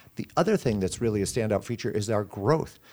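With an American accent, a man talks at a very fast pace. His pitch varies in an ordinary way. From Sioux City area, Iowa, US Midwest. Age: 60s. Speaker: candy company executive. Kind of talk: radio interview.

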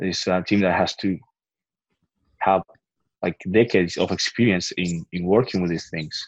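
Against a quiet background, a speaker with a Spanish accent keeps a moderate pace and fairly even intonation, leaving long, frequent pauses in a dry, close sound with no echo. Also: man, very deep, low pitch for a man. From Argentina. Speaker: biotech startup founder and CEO. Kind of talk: interview. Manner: halting, many fillers and repeats.

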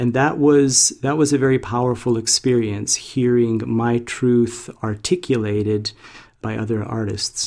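At a very slow pace, a man speaks at medium pitch with fairly even intonation. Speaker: musician and hospice nurse. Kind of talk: interview. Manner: halting.

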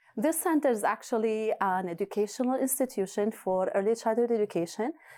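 A woman with an Arabic accent speaks at a medium pitch with lively intonation. The recording is very clean, with a silent background. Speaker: preschool director and community leader. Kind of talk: interview answers.

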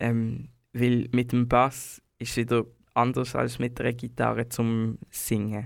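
Speaking at a very slow pace, a man uses a medium pitch and monotone, flat intonation. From Switzerland, Basel. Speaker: singer and bassist. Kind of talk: casual interview. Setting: studio.

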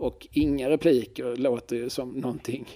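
A man speaks in a dark, mellow tone. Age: 40s. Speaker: podcast co-host. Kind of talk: casual chat.

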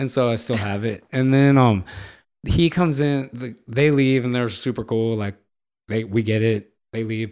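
Speaking at a moderate pace, a man with an American accent has a medium-pitched voice. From Los Angeles, California. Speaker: professional skateboarder. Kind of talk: casual storytelling. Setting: studio. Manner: animated.

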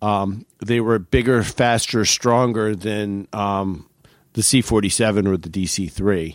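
A man speaks at a fairly slow pace in a fairly low pitch, with fairly even intonation and an unremarkable speaking voice. The recording is very clean, with a silent background. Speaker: aviation historian. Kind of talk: casual chat.

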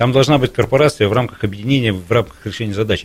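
Somewhat breathy, the voice races along at a very fast pace with lively intonation. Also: man. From Irkutsk, Siberia, Russia. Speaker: university rector. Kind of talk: radio talk show interview. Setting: radio studio.

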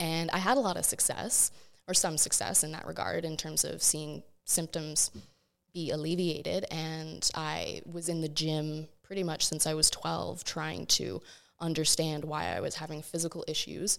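In a very clean recording with a silent background, a woman talks at a moderate tempo. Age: 30s. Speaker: patient sharing health experience. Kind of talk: casual chat.

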